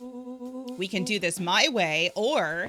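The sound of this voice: Reading in an unforced voice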